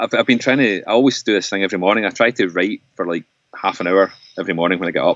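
A man with a Scottish accent talks at a very fast pace in a fairly low pitch, with ordinary pitch variation. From Scotland. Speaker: folk musician and composer. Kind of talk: casual chat. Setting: remote call.

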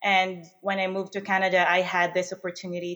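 This woman has a fairly low voice. She speaks at a moderate pace. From Philippines. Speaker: startup co-founder. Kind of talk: interview. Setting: remote recording from separate studio.

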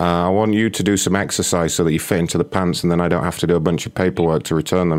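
Speaking at a very fast pace with hardly any pauses, a man uses a very deep, low voice with a British accent. His pitch varies in an ordinary way. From England. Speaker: prank call show host. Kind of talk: prank phone calls; casual show chat.

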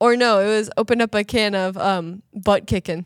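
A woman talks at a moderate pace with a fairly high pitch and fairly even intonation. The recording is very clean, dry and close, with a silent background and no echo. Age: 20s. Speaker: youth ministry podcast guest. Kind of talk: casual chat.

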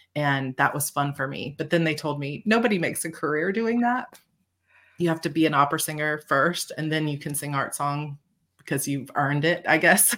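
A woman with an American accent, very deep and low in pitch, fairly quick, ordinary in pitch variation, on a very clean recording with a silent background. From Georgia, US South. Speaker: bestselling fantasy author. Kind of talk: casual interview chat.

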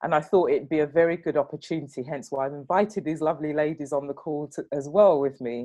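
Very fast speech in a British accent, with hardly any pauses and fairly even intonation. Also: woman, very deep, low pitch for a woman. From England. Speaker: guest host and manager. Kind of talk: casual chat.

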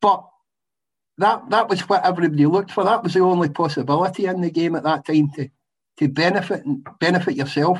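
A man with a west of Scotland accent, high-pitched with ordinary pitch variation, at a very fast pace broken by long, frequent pauses. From Scotland, west. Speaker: retired footballer. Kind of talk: casual chat.

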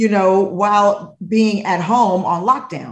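A somewhat breathy woman's voice of medium pitch. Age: 40s. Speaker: TV host and real estate investor. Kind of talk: interview. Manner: animated.

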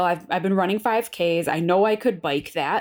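The speaker is a woman with an animated tone. She keeps a moderate pace. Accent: American. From Western New York (Buffalo). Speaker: podcast host and nutrition coach. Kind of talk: casual storytelling monologue.

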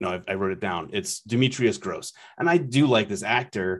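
At a moderate pace, a man with a fairly low pitch speaks in an ordinary speaking voice. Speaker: podcast host. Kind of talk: casual chat. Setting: remote recording.

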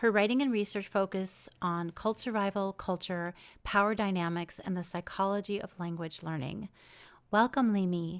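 Her pitch is medium for a woman, and she uses a normal speaking voice. She keeps a moderate pace with ordinary pitch variation. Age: 40s. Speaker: podcast host. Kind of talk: scripted intro; interview.

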